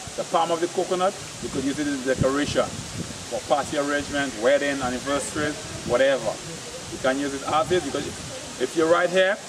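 A man talks at a very fast pace. His intonation is fairly even, and background noise is noticeable. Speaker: local guide. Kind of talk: tutorial. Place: forest.

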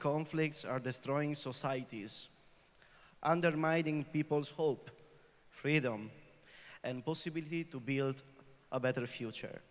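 Fairly even in intonation, this voice has an Italian accent and a moderate pace. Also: man. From northern Italy, Vicenza; northern Italy. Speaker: peace activist; speaker. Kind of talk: prepared speech. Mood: earnest, serious. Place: hall. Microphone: handheld.

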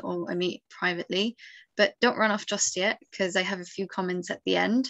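Against a quiet background, a woman talks at a moderate pace. Her pitch variation is ordinary. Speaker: medical student and webinar moderator; webinar moderator. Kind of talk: webinar moderation. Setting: video call. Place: home room. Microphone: video call.

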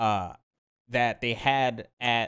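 An animated, bright and sharp tone against a quiet background. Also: man. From Brazil. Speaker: podcast host. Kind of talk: casual chat. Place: home room. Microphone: studio mic.

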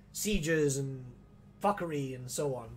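The voice comes across as somewhat breathy. Light background noise can be heard. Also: man. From Gibraltar. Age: 20s. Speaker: gaming streamer. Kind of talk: casual gameplay livestream commentary; casual livestream chat. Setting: home livestream setup. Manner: animated.

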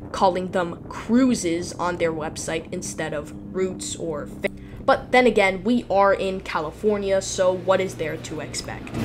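Noticeable background noise behind a woman speaking at a fairly slow pace. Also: ordinary pitch variation. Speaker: travel vlogger narrator. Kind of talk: travel vlog narration.

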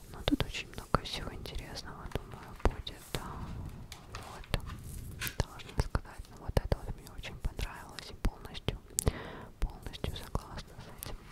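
The speaker whispers, soft-spoken, at a moderate pace. Long pauses come often. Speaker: book reviewer. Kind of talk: casual vlog chat. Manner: very close soft ASMR whisper. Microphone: phone near.

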